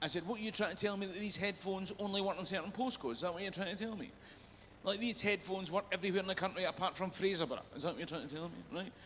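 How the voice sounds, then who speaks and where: A man with a Scottish accent, high-pitched and animated, at a very fast pace with ordinary pitch variation. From Scotland, Perth. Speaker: comedian. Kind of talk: stand-up.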